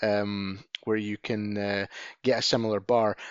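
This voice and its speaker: Here a man speaks with a Scottish accent. His pitch sits in the medium range. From Scotland. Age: 40s. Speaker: podcast co-host. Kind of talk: casual chat.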